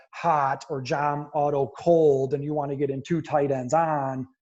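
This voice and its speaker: Somewhat breathy, a man with a fairly high pitch speaks with fairly even intonation. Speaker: football coach. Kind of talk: lecture. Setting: video call. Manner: fast.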